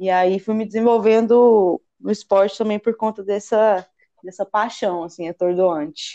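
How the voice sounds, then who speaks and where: A woman's dark, mellow tone at a fairly slow pace, with fairly even intonation. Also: medium pitch for a woman. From Goiânia, central Brazil. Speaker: rock climber. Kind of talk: casual chat.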